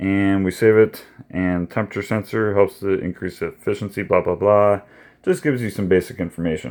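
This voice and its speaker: Spoken at a moderate pace, the voice has a dark, mellow tone. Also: man. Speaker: product reviewer. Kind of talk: product review tutorial. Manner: casual, many fillers.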